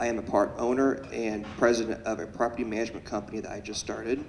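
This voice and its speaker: A man with an American accent, medium pitch and fairly even intonation. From Peoria area, Illinois. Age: 20s. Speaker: police sergeant, commissioner candidate. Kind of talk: candidate forum speech.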